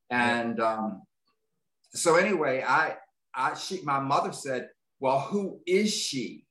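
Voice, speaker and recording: A man with an American accent, a bright, sharp tone, fairly high pitch and lively intonation, very slow pace with long, frequent pauses. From rural US. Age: 70s. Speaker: author and military veteran. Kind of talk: interview. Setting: video call.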